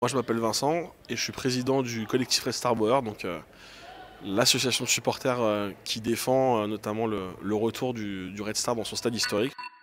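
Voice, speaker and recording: At a moderate pace, a man speaks in a medium pitch with fairly even intonation over noticeable background noise. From Paris, France. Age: 30s. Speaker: football supporters' association president. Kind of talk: interview. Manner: halting, many hesitations.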